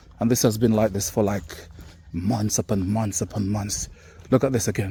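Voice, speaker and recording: This voice carries a Caribbean accent and is somewhat breathy. It moves at a moderate pace with ordinary pitch variation. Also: man. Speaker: vlogger. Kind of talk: walking vlog commentary. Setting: outdoors. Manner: animated.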